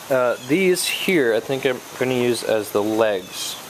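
A man speaks very slowly while noticeable noise carries on in the background. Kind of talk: casual tutorial narration. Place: street. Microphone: phone near.

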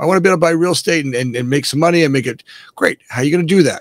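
An American-accented man speaks with ordinary pitch variation in a dry sound with no echo and a quiet background. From South Florida. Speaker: real estate developer; podcast guest. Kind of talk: casual interview; interview answer. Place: office.

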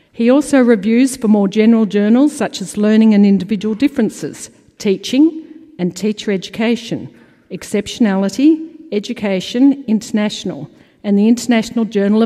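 A woman with an Australian accent, fairly high pitch and ordinary pitch variation, a dark, mellow, somewhat breathy tone and a fairly quick pace, against a quiet background. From Australia (Melbourne). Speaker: awards committee chair; conference presenter. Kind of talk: award presentation. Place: hall. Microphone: podium.

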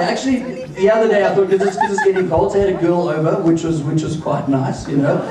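A man speaks at a very fast pace. Noticeable background noise and audible room echo surround his voice. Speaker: stand-up comedian. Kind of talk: stand-up comedy. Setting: nightclub stage with audience. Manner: casual, rambling, filler-heavy delivery with self-laughing; profane, animated, conversational storytelling with mimicked voices. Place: stage.

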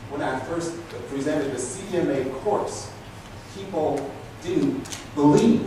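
Amid noticeable background noise and strong room echo, a man speaks at a moderate pace in a fairly high voice with ordinary pitch variation. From Africa. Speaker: telecommunications instructor. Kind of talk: keynote lecture. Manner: hesitant fillers. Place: hall.

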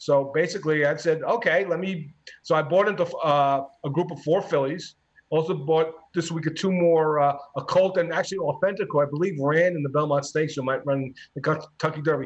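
Fairly quick and fairly even in intonation, a man talks in an unremarkable speaking voice. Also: fairly high pitch for a man. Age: 60s. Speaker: sports reporter. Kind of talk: casual chat.

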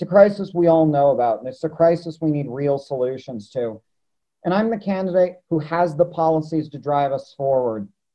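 Over a quiet background, a man with an American accent speaks at a moderate pace in a fairly high pitch with ordinary pitch variation. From Los Angeles, California. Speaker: mayoral candidate; candidate. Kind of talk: interview. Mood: earnest, persuasive. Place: home room. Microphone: webcam.

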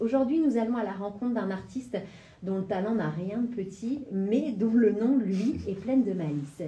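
A woman talks with lively intonation. The room echo is audible. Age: 30s. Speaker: radio host, former dancer; radio host. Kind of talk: radio interview. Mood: warm, welcoming. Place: studio.

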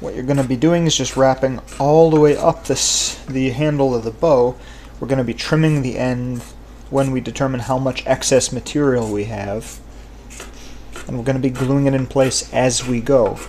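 Over light background noise, the speaker keeps a moderate pace and fairly even intonation. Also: man. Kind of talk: tutorial. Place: workshop. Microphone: camera far.

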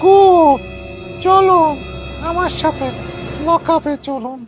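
A cartoonish character voice at an extremely high pitch plays over faint music in the background. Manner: commanding, brusque.

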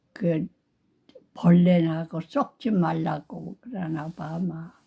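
A woman speaks at a very slow pace in a dark, mellow tone with a somewhat breathy quality. Her pitch is fairly low, with ordinary variation. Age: 80s+. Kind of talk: storytelling, reminiscing about childhood. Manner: slow, drowsy storytelling.

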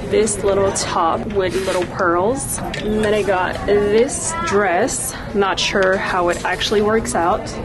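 Clear music plays in the background. Over it, a woman speaks at a very slow pace. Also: ordinary pitch variation. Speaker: vlogger. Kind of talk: casual vlog chat. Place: shop. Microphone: phone near.

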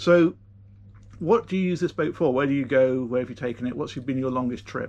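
With a British accent, the voice moves at a fairly quick pace. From UK. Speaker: boating video presenter; presenter. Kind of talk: casual interview on a boat tour. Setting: aboard a motor yacht. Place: boat.

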